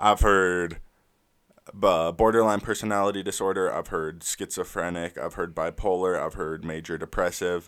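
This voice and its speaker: A man speaks in a very deep, low voice with an American accent, at a moderate pace and in a flat monotone. The recording is very clean, with a silent background. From Southern California, San Clemente. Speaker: musician. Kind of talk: interview.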